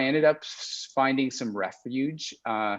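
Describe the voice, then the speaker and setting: Ordinary pitch variation runs through this man's speech. He has a Canadian accent. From Canada, Alberta. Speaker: film and television director. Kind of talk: interview conversation. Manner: halting, many fillers and repeats.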